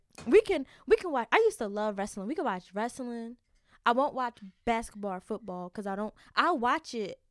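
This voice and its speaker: A woman with a plain, everyday voice speaks at a fairly high pitch and a fairly quick pace, with lively intonation. The recording is very clean, with a silent background and a dry, close sound with no echo. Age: young. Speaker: college student podcast co-host. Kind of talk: casual chat. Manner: giggly, frequent laughter.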